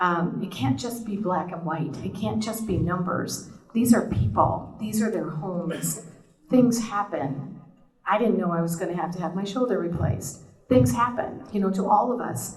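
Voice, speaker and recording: A woman talks at a moderate pace with lively intonation and a medium pitch. The audio carries noticeable background noise and audible room echo. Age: 60s. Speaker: board candidate. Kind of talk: candidate forum statement.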